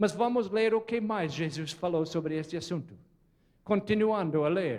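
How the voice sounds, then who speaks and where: Speaking with a non-native accent, a man uses a high pitch, ordinary pitch variation and a moderate pace. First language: not Portuguese (speaking Portuguese). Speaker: preacher. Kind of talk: sermon. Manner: animated, questioning audience.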